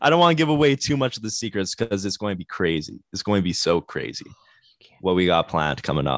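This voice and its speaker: A man with a Canadian accent at a fairly low pitch, very fast, with very wide pitch swings, in a dry, close sound with no echo and a quiet background. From Canada, Winnipeg. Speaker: band guitarist. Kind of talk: casual chat.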